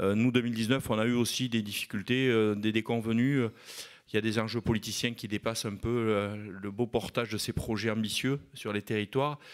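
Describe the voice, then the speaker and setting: The speaker has a slight southwest French accent and talks at a fairly quick pace with monotone, flat intonation on a very clean recording with a silent background. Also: man, medium pitch for a man. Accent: southwest French (Landes), slight. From southwest France, Landes. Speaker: mayor. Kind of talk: panel talk at a conference. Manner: hesitant, many fillers.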